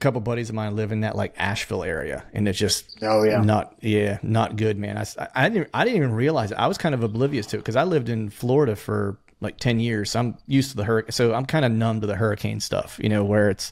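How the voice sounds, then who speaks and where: Talking at a very fast pace, a man with a fairly low pitch shows ordinary pitch variation. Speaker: podcast host. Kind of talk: casual conversational storytelling. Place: home room. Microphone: studio mic.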